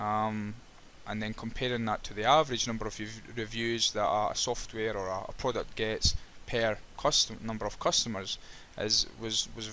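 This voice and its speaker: A man with a Scottish accent speaks at medium pitch and a moderate pace. His tone is bright and sharp, his intonation monotone and flat. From Scotland. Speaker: web developer. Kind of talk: screen-recorded coding tutorial with commentary. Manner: halting, frequent repetitions and fillers.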